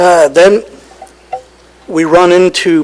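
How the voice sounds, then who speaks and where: Over noticeable background noise, a man with a high pitch speaks with fairly even intonation. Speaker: county staff presenter. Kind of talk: presentation at public meeting. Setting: county board meeting.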